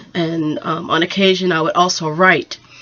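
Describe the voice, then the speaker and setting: A woman with an American accent speaks at a fairly low pitch. Her intonation is monotone and flat, and background noise is noticeable. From Texas, Houston. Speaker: photographer and vlogger. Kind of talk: personal vlog introduction. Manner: hesitant with frequent fillers.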